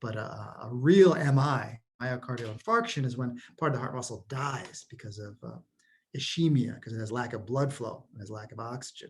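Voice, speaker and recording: A man speaks at medium pitch in a somewhat breathy voice. His pitch varies in an ordinary way, while his loudness swings widely. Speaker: college anatomy instructor. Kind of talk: recorded review lecture. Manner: fast; casual, with fillers.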